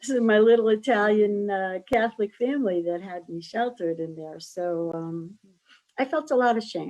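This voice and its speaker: Against a quiet background, a woman with a Connecticut accent speaks at medium pitch and a moderate pace, her intonation lively and her loudness swinging widely. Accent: US Northeast (Connecticut). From US Northeast, Stratford, Connecticut. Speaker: wellness professor and author. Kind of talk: interview.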